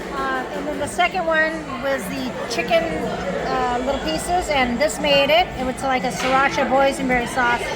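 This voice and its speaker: Over crowd noise and audible room echo, a woman with a high pitch and lively intonation talks at a moderate pace with hardly any pauses. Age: 60s. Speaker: mother of the host. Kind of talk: casual food review chat. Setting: outdoors at theme park festival.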